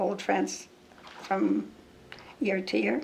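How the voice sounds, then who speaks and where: A woman with a Canadian accent speaks at a very slow pace. There is noticeable background noise. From Saskatchewan, Canada. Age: 90s. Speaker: senior track and field athlete. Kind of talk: interview answer.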